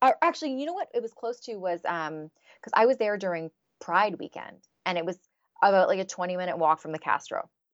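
A woman with an unremarkable speaking voice and a medium pitch talks at a fairly quick pace with lively intonation and big swings in loudness, in a dry, close sound with no echo and a quiet background. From Canada. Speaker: happiness researcher. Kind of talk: interview.

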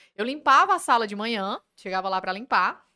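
Her tone is bright and sharp, and this woman uses ordinary pitch variation. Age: 20s. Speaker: police officer. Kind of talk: interview.

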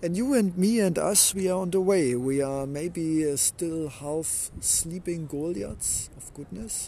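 A man with a German accent speaks at a very slow pace in a high-pitched, dark and mellow voice, with lively intonation, big swings in loudness and hardly any pauses. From Germany. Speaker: inspirational podcaster. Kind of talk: motivational monologue.

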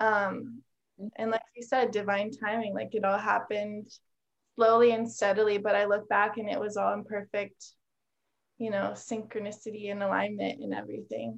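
At a moderate pace, a woman with a medium pitch speaks in a flat, monotone way. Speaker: podcast guest. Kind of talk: personal testimony.

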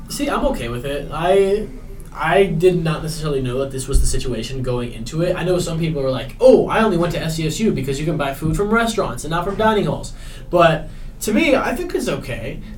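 The speech moves at a fairly quick pace with lively intonation. Noticeable background noise runs behind it. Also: man, high pitch for a man. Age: young. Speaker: college student podcaster. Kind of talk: casual chat. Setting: dorm floor at night.

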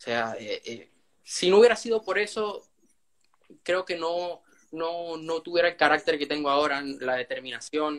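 This man has a high-pitched voice and speaks at a fairly slow pace. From Venezuela. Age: young. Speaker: young author. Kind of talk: interview.

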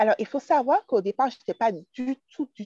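A woman's voice, dry and close with no echo, over music in the background. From Martinique. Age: 20s. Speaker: craft entrepreneur. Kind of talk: casual chat.

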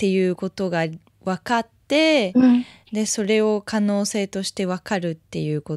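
In a very clean recording with a silent background and a dry, close sound with no echo, a woman speaks at a fairly slow pace with lively intonation. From France (Paris). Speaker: podcast host, singer-songwriter. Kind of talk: casual interview. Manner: halting.

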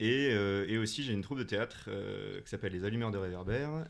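With ordinary pitch variation and a fairly low pitch, a man talks in a normal speaking voice. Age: 20s. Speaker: comedian and actor. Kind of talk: casual interview.

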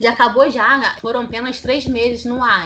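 A woman's speech, delivered at a moderate pace, comes through noticeable background noise. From Brazil, Rio de Janeiro city. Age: 30s. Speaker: podcast panelist. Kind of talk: casual chat.

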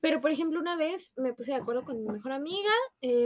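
Her voice sits high for a woman, with ordinary pitch variation. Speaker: podcast co-host. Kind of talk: casual chat.

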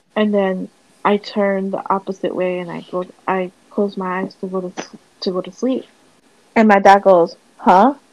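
This woman talks at a moderate pace and medium pitch. Her intonation stays monotone and flat. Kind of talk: casual chat. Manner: casual, chatty.

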